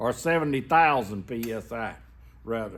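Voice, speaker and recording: A man talks fairly slowly with a Southern US accent. His pitch swings very widely. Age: 60s. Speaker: welder. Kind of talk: tutorial. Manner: casual, folksy.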